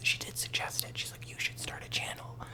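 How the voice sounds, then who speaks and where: Noticeable background noise runs beneath a man who speaks very fast. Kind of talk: ASMR ramble talk to camera.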